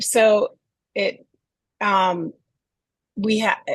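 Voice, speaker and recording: This woman's voice sits at a medium pitch and is somewhat breathy. The sound is dry and close, with no echo. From northeastern US. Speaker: neurodiversity advocate. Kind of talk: interview conversation.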